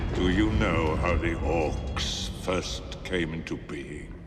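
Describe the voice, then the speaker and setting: Through loud background noise, a man uses a put-on character voice with a very deep, low pitch at a very slow pace. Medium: comedy sketch. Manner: slow, grave, menacing.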